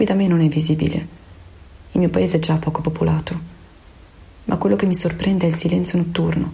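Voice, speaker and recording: Against noticeable background noise, a woman with a fairly low pitch speaks fairly quickly at very even loudness, broken by long, frequent pauses. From Veneto, Italy. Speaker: opera director. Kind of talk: personal testimony. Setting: home in quarantine.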